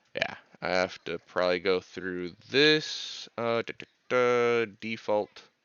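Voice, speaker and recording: A man with an American accent speaks very slowly at a medium pitch. His loudness swings widely, while his pitch variation stays ordinary. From California. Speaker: video game streamer. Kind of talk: casual live-stream chat.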